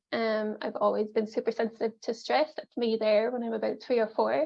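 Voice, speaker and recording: A woman with an Irish accent talks at a fairly quick pace. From Ireland. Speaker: life coach and mindfulness facilitator. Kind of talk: pre-recorded workshop presentation. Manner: casual, many filler ums.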